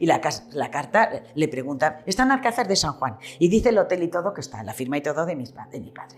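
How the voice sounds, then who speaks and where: Her pitch swinging very widely, a woman talks at a fairly quick pace. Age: 70s. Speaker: retired shopkeeper. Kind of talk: oral history interview.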